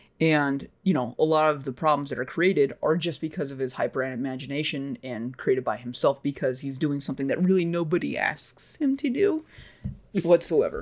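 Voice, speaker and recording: On a very clean recording with a silent background, a man with a plain, everyday voice talks at a fairly quick pace with a fairly high pitch and ordinary pitch variation. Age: 40s. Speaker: podcast host. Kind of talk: casual chat.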